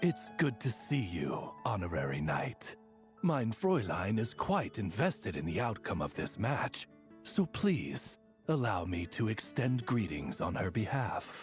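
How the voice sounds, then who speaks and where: A man puts on a character voice at a medium pitch, with very wide pitch swings and a fairly slow pace over clear background music. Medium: video game. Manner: formal, polite.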